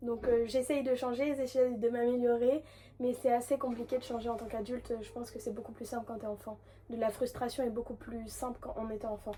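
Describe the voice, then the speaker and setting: A woman's high voice moves at a fairly quick pace with big swings in loudness, set against noticeable background noise. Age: 20s. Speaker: hairdresser and content creator. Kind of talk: casual vlog Q&A. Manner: hesitant, many fillers.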